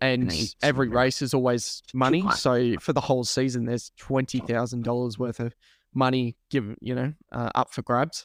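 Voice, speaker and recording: A man speaks with an Australian accent at a medium pitch. His intonation is fairly even, and his pace is moderate. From Australia, New South Wales (Lake Macquarie). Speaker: sim racer and commentator. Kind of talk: podcast interview. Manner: casual, many fillers. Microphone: new microphone.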